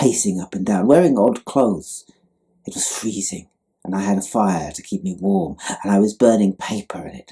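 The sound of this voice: The background stays quiet. The voice is an unforced reading voice.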